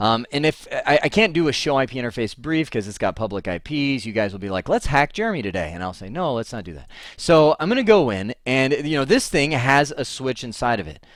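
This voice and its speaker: The speaker's tone is animated, with vocal fry and a fairly quick pace. Pitch swings are very wide, and loudness varies greatly. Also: man, medium pitch for a man, hardly any pauses. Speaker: networking instructor. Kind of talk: lecture. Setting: home office. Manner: fast.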